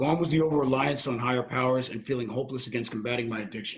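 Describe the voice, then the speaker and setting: A man with a North Jersey accent talks at a very fast pace, somewhat breathy. His pitch is medium, with ordinary variation. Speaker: army veteran, recovery volunteer coordinator. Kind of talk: personal testimony at a presentation.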